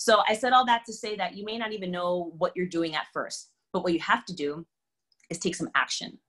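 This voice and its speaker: A woman speaks in an animated, bright, sharp tone. Her pace is fairly quick, with ordinary pitch variation. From Africa. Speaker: children's book author and motivational speaker. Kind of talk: motivational talk. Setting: video call. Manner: fast.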